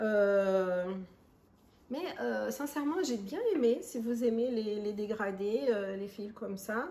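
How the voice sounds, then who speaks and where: In an audible room echo, a woman with a non-native accent talks at a very slow pace. Her fairly high voice has a dark, mellow tone. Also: ordinary pitch variation. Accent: foreign accent in French. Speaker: crochet and knitting podcaster. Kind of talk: casual crafting podcast monologue. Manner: hesitant, many fillers.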